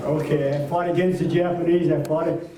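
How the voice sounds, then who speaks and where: Over noticeable background noise, a man speaks at a high pitch and moderate pace with a monotone, flat intonation. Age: 80s+. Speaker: war veteran; former mayor. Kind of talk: political rally speech.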